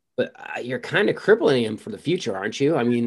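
A man talks at a fairly quick pace with a medium pitch, in a plain, everyday voice. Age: 40s. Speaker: artist. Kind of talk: casual chat. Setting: video call.

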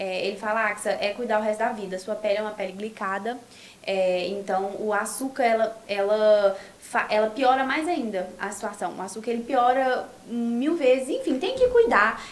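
Noticeable background noise runs under the voice. There is also audible room echo. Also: woman, fairly high pitch for a woman, ordinary pitch variation, moderate pace. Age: 20s. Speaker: influencer and sales representative. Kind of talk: casual chat. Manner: animated.

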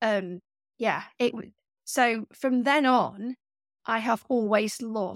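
The sound is dry and close, with no echo. A woman with a fairly high pitch speaks at a very slow pace. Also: very clean recording, silent background. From Staffordshire, England (Stoke-on-Trent area). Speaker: artist and art teacher. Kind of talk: interview conversation. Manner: hesitant, many fillers and restarts.

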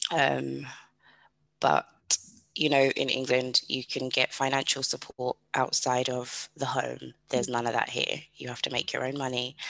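This woman speaks with a British accent and a very deep, low pitch. Vocal fry runs through her voice. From UK. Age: 30s. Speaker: podcast host, single mother. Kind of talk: casual interview chat.

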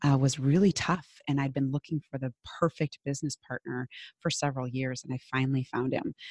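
A woman speaks at a fairly quick pace with a strong Minnesotan accent, her very deep, low pitch held in a monotone, flat delivery, and the sound is dry and close with no echo. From Minnesota, US Midwest. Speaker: business coach. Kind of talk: casual interview conversation.

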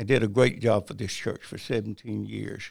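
A man's voice with vocal fry, a moderate pace and a Southern US accent. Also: very clean recording, silent background. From South Carolina (Bennettsville, Marlborough County). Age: 80s+. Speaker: retired pastor. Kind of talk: interview testimony.

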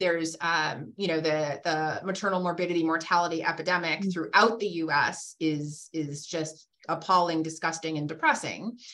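A woman's fairly low, bright and sharp voice with an American accent, at a moderate pace with hardly any pauses and fairly even intonation. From Massachusetts (Randolph, south of Boston). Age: 50s. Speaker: physician and hospital executive. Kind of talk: casual interview conversation. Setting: video call.

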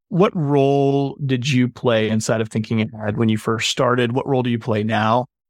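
An ordinary speaking voice moves at a moderate pace with fairly even intonation over a quiet background. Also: man, medium pitch for a man, hardly any pauses, very even loudness. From North Carolina, Boone (mountains). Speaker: podcast host. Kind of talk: interview.

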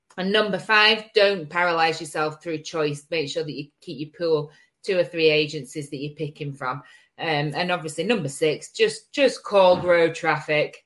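A woman with an unremarkable speaking voice, fairly low pitch and ordinary pitch variation, at a moderate pace against a quiet background. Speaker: digital marketing agency director and show host. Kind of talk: casual live-streamed chat. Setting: Facebook live video, from her kitchen. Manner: casual, chatty, jokey.

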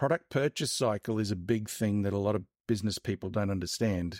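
A man with an Australian accent speaks at a fairly low pitch and a moderate pace. The sound is dry and close, with no echo. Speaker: marketing expert, author. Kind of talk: casual interview. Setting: video call.

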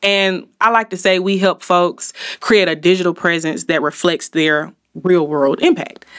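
In an Alabama accent, a woman speaks at a fairly slow pace with a fairly low pitch and ordinary pitch variation. The recording is very clean, the background silent. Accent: US South (Alabama). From Montgomery, Alabama. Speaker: marketing company owner. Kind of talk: interview conversation. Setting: studio.

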